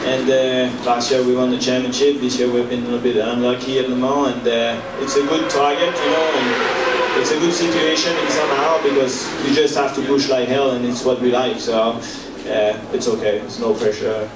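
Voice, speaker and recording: A man speaks at a moderate pace with fairly even intonation. There is noticeable background noise. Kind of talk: interview answer. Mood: relaxed, light laughter. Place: hall. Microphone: podium.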